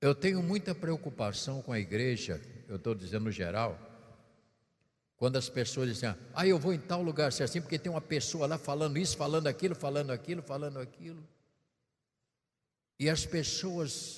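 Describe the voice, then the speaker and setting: A soft-spoken, somewhat breathy man with a fairly high voice, lively intonation, a moderate pace and long, frequent pauses. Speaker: bishop preacher. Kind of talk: sermon. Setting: church. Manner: speaking softly; playful tone.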